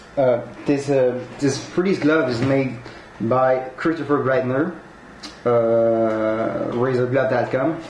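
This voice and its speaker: With a Quebec accent, a man speaks at a very slow pace and medium pitch, with very even loudness and fairly even intonation, amid noticeable background noise and audible room echo. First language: French. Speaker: collectibles unboxing youtuber. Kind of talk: unboxing review. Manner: halting.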